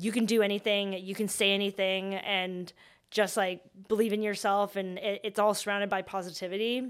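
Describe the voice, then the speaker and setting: Delivered at a moderate pace with monotone, flat intonation, the speech carries a Canadian accent in a very clean recording with a silent background. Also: woman. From Vancouver, Canada. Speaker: startup founder. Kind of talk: interview.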